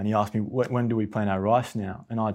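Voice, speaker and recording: Against a quiet background, a man with an Australian accent speaks at a very fast pace. His fairly low voice stays monotone and flat. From Australia, near Canberra. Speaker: soil scientist. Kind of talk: casual chat.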